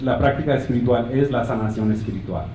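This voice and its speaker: A man speaks with a non-native accent. Noticeable background noise and audible room echo are present. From United States, Colombian family. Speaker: physician and conference speaker. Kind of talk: conference talk. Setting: stage with audience, slides. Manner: halting, with repeated words.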